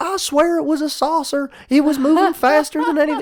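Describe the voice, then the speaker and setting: A high-pitched, put-on character voice with a Southern US accent at a fairly quick pace. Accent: southern American. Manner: earnest, insistent.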